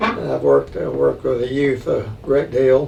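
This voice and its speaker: Against noticeable background noise, a man speaks with a Tennessee accent at a fairly slow pace. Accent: Southern US (Tennessee). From Middle Tennessee (Franklin, Williamson County). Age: 80s+. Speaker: retired chamber of commerce director. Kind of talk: interview. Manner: halting, many fillers and repetitions.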